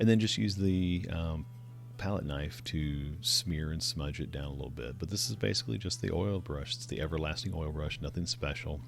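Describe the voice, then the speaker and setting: Music plays in the background as a man with a very deep, low pitch talks at a moderate pace in a relaxed tone, his pitch swinging very widely. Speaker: digital artist. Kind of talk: painting tutorial narration. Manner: casual, relaxed.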